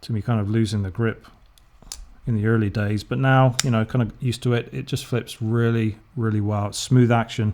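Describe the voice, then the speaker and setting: A man speaks at a medium pitch with an English accent. His intonation stays fairly even. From England. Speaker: knife reviewer, YouTuber. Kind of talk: casual product review. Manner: casual, hesitant with fillers.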